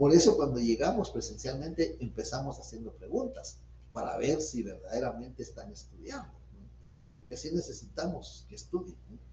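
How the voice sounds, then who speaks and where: A man talks at a moderate pace, and audible room echo follows his words. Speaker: law professor. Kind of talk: lecture. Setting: video call.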